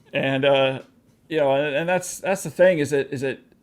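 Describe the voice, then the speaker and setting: A man speaks in a normal speaking voice with an American accent. His pitch is fairly high with ordinary variation, and his pace is moderate. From Pacific Northwest, US (Vancouver WA / Portland OR). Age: 40s. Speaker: interviewer and filmmaker. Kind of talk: interview.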